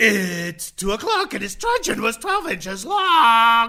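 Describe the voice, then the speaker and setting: In a put-on character voice, a man speaks very slowly at an extremely high pitch with very wide pitch swings. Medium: comedy sketch. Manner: abrupt, squawking.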